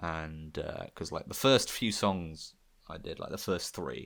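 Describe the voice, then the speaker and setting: Very deep and low, a man's voice carries vocal fry. The recording is very clean, with a silent background. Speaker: podcast co-host and amateur musician. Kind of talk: casual chat. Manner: halting, many fillers.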